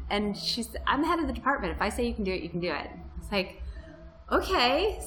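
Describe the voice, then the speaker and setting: A woman with an American accent at a moderate pace, with audible room echo and music in the background. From Florida. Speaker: freelance writer and blogger. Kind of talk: interview. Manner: casual, with many fillers.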